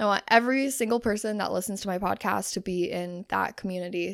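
A woman talks at a fairly quick pace with a medium pitch. The recording is very clean, with a silent background. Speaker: podcast host and confidence coach. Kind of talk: casual solo monologue. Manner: animated.

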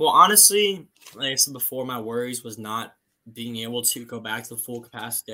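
Words come at a very fast pace in a bright, sharp tone with ordinary pitch variation. The recording is very clean, with a silent background. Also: man. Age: 20s. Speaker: jiu-jitsu competitor. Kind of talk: casual chat.

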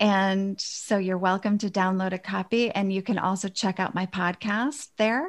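With hardly any pauses and fairly even intonation, a woman talks in a normal speaking voice at medium pitch, the recording very clean over a silent background. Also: moderate pace. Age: 50s. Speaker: women's empowerment coach. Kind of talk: interview.

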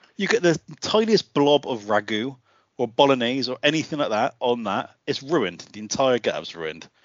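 This man has an English accent and medium pitch. He speaks at a moderate pace with very wide pitch swings. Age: 40s. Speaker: podcast host. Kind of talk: casual chat.

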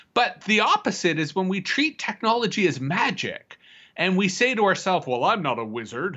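The man's pitch is high. He speaks at a moderate pace with very wide pitch swings. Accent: Canadian. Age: 40s. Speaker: futurist and public speaker. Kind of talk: casual conversation.

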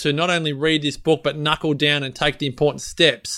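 A man with an Australian accent, animated and bright, sharp in tone, at a moderate pace. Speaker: podcast host. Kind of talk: casual interview chat. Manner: animated, jokey.

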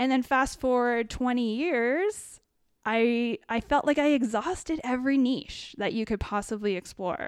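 A woman with a Canadian accent speaks at a fairly slow pace and a high pitch. Her pitch varies in an ordinary way, and the recording is very clean with a silent background. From Ontario, Canada (small town near Kitchener-Waterloo). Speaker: potter, former graphic designer. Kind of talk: casual chat.

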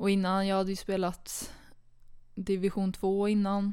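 A woman at medium pitch talks at a moderate pace in a dark, mellow tone. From Sweden, Karlstad (Värmland). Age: 20s. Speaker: handball player. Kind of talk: casual interview. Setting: studio, two meters apart.

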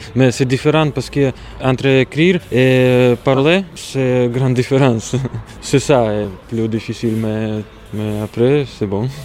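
Noticeable background noise behind a man at medium pitch, fairly slow pace and ordinary pitch variation. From Latvia. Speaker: immigrant worker. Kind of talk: interview. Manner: halting.

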